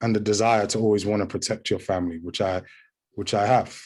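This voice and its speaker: A man with a British accent speaks at a fairly low pitch, his intonation fairly even. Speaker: actor. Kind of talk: interview. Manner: halting, many repeated words.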